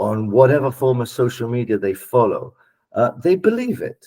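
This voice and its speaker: A man's somewhat breathy, medium-pitched voice with a dark, mellow tone, lively intonation and a moderate pace. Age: 60s. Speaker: political scientist. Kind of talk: panel discussion.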